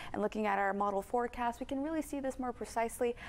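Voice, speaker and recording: A woman talks in an upbeat tone. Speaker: weather forecaster. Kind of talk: weather report. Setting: studio. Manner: upbeat, brisk, polished TV-broadcast delivery. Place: studio. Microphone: lapel.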